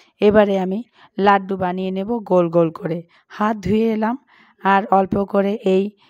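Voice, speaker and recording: A woman's medium-pitched, monotone voice with flat intonation and a dry, close sound with no echo. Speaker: cooking channel host. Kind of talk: cooking tutorial.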